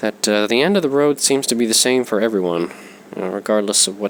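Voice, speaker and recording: A man with a fairly low voice speaks at a fairly quick pace over noticeable background noise. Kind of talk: casual spoken analysis. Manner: hesitant, many fillers.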